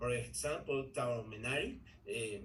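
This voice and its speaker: Audible room echo surrounds a man speaking at a fairly slow pace with a Spanish accent. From Ecuador. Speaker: English learner in a group class. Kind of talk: language class conversation practice. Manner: halting, with many repetitions and fillers.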